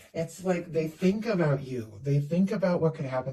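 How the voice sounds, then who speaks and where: A man talks at a high pitch amid noticeable background noise. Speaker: tarot reader. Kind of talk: tarot reading. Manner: fast; animated.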